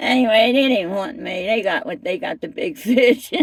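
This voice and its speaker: A woman talks with a Philadelphia accent. Her tone is animated. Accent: Philadelphia-area American. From US Northeast, Camden, New Jersey. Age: 60s. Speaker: interviewee sharing life story. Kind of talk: casual interview testimony.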